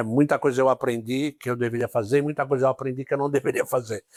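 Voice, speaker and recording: In a very clean recording with a silent background and a dry, close sound with no echo, a man with a plain, everyday voice speaks at medium pitch with fairly even intonation. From São Paulo city, Brazil. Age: 60s. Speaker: police ombudsman. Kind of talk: interview.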